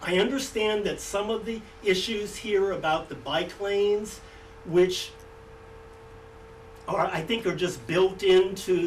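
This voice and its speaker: A very slow pace with long, frequent pauses, over noticeable background noise. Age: 70s. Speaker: resident speaking at public hearing. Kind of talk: public comment at a hearing.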